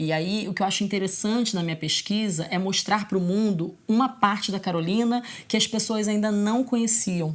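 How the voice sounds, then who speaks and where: A woman talks at a moderate pace in a medium pitch, hardly pausing at all. She has an ordinary speaking voice with ordinary pitch variation. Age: 30s. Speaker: singer-songwriter and teacher. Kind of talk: documentary interview.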